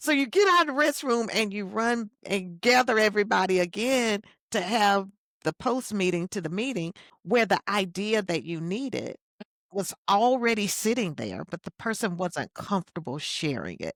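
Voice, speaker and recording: A woman speaks at medium pitch and moderate pace in an unremarkable speaking voice. Her intonation is lively, and the sound is dry and close with no echo. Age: 60s. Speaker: keynote speaker and leadership coach. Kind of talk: podcast interview.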